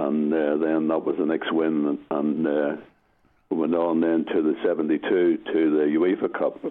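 A man talks at a fairly slow pace. His loudness stays very even throughout. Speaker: retired goalkeeper. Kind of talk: interview.

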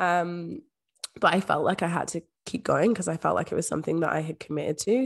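At a fairly quick pace, a woman with a fairly low voice and vocal fry speaks with ordinary pitch variation. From Scotland. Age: 20s. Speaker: manifestation coach. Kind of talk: casual interview chat.

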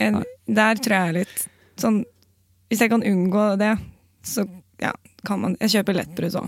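A woman with a medium pitch speaks at a fairly slow pace, leaving long, frequent pauses. Her intonation is fairly even. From Oslo, Norway. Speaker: comedian and journalist. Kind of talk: casual chat.

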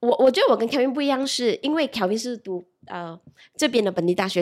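Lively intonation in a woman's high voice. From Malaysia. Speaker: e-commerce employee. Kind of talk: casual chat.

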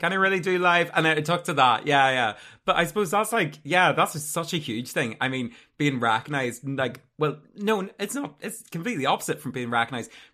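Speaking at a fairly quick pace with a Northern Irish accent, a man uses lively intonation and a fairly high pitch with a bright, sharp tone, heard in a very clean recording with a silent background. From Northern Ireland. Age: 20s. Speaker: podcast interviewer. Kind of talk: casual interview chat.

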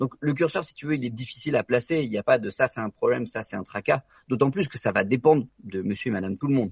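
A somewhat breathy voice at a very fast pace, with ordinary pitch variation. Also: man, medium pitch for a man, big swings in loudness, dry, close sound with no echo. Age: 20s. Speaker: doctor and real estate investor. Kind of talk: interview.

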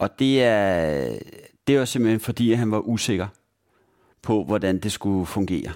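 Speaking at a moderate pace, a man has a fairly low pitch with ordinary pitch variation. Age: 40s. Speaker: blind job consultant. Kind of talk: interview. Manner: halting, many fillers.

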